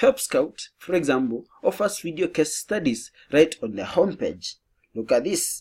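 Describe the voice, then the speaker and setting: A high-pitched man's voice at a moderate pace with very wide pitch swings. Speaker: marketing educator. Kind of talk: tutorial.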